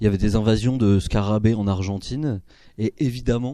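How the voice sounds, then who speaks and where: Fairly low in pitch, a man speaks with a dark, mellow tone and fairly even intonation. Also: quiet background. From Paris, France. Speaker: philosophy lecturer and author. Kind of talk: book talk. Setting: bookshop talk with audience.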